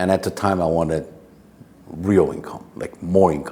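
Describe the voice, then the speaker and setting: With a non-native accent and a very deep, low pitch, a man talks in fairly even intonation over noticeable background noise. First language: not English. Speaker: real estate agent and educator. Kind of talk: interview answer. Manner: casual, storytelling.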